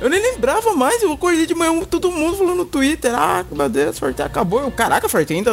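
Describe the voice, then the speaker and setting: Music plays behind a man who talks at a very fast pace, hardly pausing and keeping his loudness very even. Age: 20s. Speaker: podcast co-host. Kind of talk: casual chat.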